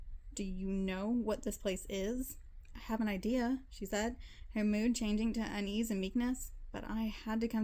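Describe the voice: Someone reads aloud plainly, with ordinary pitch variation.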